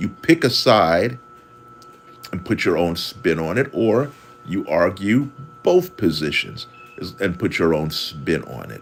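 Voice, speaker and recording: Music plays behind a man whose delivery is fairly slow. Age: 60s. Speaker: caricature artist and marketing consultant. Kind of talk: livestream tutorial talk. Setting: livestream. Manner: halting, repeats words.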